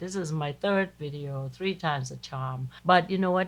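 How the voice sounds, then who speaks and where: At a moderate pace, a woman speaks in a very deep, low pitch, somewhat breathy, with ordinary pitch variation. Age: 60s. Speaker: cooking channel host. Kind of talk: casual monologue to camera. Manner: animated.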